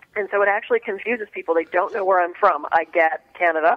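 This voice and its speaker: A woman with an American accent talks at a very fast pace. Her fairly low pitch varies in an ordinary way over noticeable background noise. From Pittsburgh, Pennsylvania, US. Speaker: alternative medicine practitioner and author. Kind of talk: radio interview. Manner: animated.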